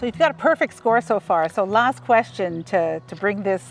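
A woman speaks at a moderate pace in a dry sound with no echo, with faint music in the background. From Canada. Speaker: author; quiz host. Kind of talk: casual conversation. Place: open country.

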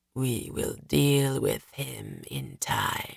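Using a put-on character voice, a man sounds raspy and husky.

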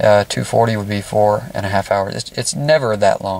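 The man's speech sounds dry, with no echo at all. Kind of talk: casual vlog commentary. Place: car. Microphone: phone near.

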